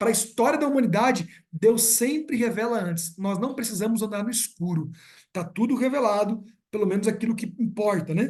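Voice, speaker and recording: With audible room echo, a man talks at a moderate pace in a high pitch with ordinary pitch variation. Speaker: pastor. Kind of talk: sermon. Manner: casual conversational.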